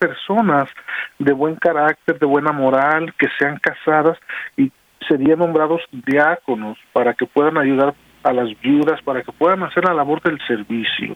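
A man speaks in a normal speaking voice at a fairly slow pace. His pitch is fairly high, with ordinary pitch variation. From Mexico, Guadalajara, Jalisco. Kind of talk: radio interview.

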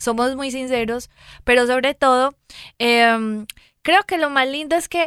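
A woman with a Colombian accent, high pitch, and animated tone at a fairly slow pace with long, frequent pauses, in a dry, close sound with no echo and a very clean recording over a silent background. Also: ordinary pitch variation. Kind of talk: casual chat. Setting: studio.

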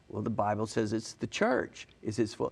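The speaker is a man with an American accent. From US South, Alabama (Huntsville). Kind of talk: interview.

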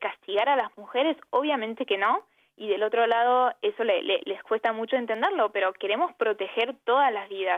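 Using an Argentine accent, a woman speaks at a fairly high pitch with ordinary pitch variation. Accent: Argentine Spanish, unmistakable. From Brittany, France and Argentina. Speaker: human rights advocate. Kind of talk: radio interview.

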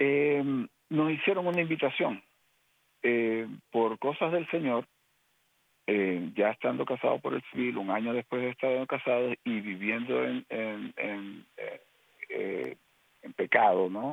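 Using lively intonation, a man speaks at a very slow pace and medium pitch with long, frequent pauses. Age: 50s. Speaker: lay ministry member. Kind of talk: testimony. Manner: halting, many fillers.

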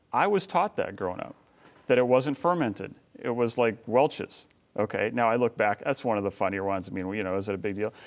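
An ordinary speaking voice, a man's, medium in pitch at a fairly quick pace, with a dry, close sound and no echo. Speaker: filmmaker and author. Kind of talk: interview.

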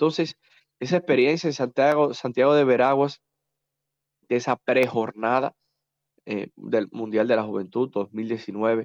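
At a fairly slow pace with long, frequent pauses, the speech comes through dry and close, with no echo. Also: man, medium pitch for a man, ordinary pitch variation. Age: 30s. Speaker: politician. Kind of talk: interview.

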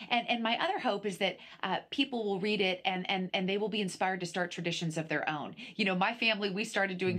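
A woman talks at a very fast pace and a medium pitch. Noticeable background noise runs underneath. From US Pacific Northwest, Edmonds, Washington. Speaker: TV host and author. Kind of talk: interview.

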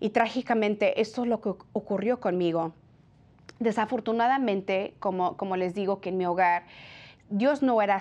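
A woman with a normal speaking voice, medium in pitch, at a moderate pace and with ordinary pitch variation. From California, Mexican-American family from Jalisco. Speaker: pro-life TV presenter. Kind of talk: personal testimony. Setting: TV studio.

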